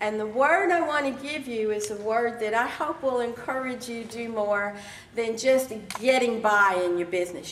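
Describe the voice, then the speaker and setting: A woman's fairly high voice with ordinary pitch variation, amid audible room echo and noticeable background noise. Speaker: keynote speaker and life coach. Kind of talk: keynote speech. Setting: stage with audience. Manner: conversational, animated.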